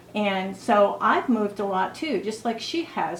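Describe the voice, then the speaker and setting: At a moderate pace, a woman speaks at a medium pitch over noticeable background noise. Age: 60s. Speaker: beauty vlogger. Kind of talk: casual chat.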